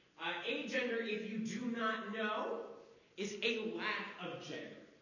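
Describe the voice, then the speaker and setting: Speaking at a very slow pace, a man with a high voice comes through audible room echo and noticeable background noise. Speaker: theatre educator giving a talk. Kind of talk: lecture. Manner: loud, projecting to the room. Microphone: speaking without a microphone.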